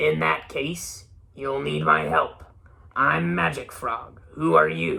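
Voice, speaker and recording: A man growls in a put-on character voice, gravelly and very deep in pitch. He speaks at a very slow pace. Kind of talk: silly character voice for kids. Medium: read story.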